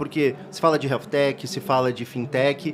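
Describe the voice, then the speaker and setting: A man with a slight gaúcho accent at a moderate pace, with noticeable background noise. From Rio Grande do Sul, Brazil. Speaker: reporter and podcast host. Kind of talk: podcast interview. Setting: podcast booth at a conference.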